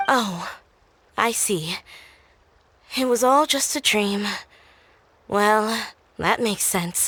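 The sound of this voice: Putting on a character voice, a woman speaks very slowly at a medium pitch with a bright, sharp tone, ordinary pitch variation and long, frequent pauses.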